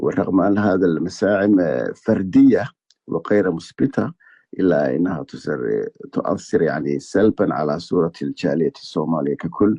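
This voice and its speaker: A man speaks in a very deep, low pitch with vocal fry and a slight Egyptian accent. His intonation is lively. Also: fairly slow pace. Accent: slightly Egyptian-tinged Arabic. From Somaliland (Hargeisa). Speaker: journalist. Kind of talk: interview. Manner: halting, many fillers.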